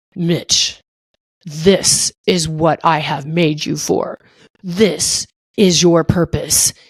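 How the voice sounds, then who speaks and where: A woman puts on a character voice that is raspy, loud and booming, at a fairly low pitch. She speaks at a very slow pace. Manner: commanding, grand.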